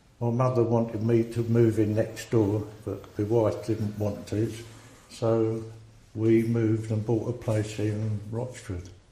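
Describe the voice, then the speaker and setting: A man with an Essex accent, medium pitch and monotone, flat intonation at a fairly slow pace, with audible room echo. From England, Essex (Rayleigh). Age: 70s. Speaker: army veteran. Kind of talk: oral history interview.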